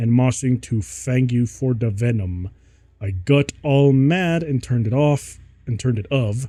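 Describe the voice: The pitch rises and falls in an ordinary way. It is plain reading aloud.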